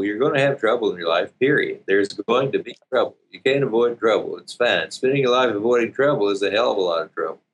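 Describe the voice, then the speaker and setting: Fairly quick speech from a man in a Southern US accent. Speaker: relationship coach and seminar leader. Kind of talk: casual interview.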